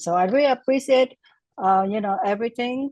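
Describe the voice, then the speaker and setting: A woman's voice in a Vietnamese accent, with ordinary pitch variation and a dry, close sound with no echo. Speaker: class participant. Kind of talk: casual testimony. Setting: video call. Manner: halting.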